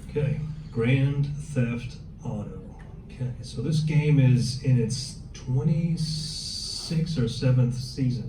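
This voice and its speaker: Audible room echo and noticeable background noise surround this man's voice. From Germany. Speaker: police officer. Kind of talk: workshop talk. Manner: conversational, addresses audience directly.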